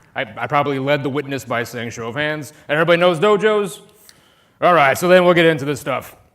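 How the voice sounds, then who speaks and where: In an American accent, a man with a fairly high pitch talks at a fairly quick pace with ordinary pitch variation. He leaves long, frequent pauses, and audible room echo surrounds his voice. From US Midwest, Chicago. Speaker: conference speaker, DevOps consultant. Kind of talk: conference talk. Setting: stage with audience. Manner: animated.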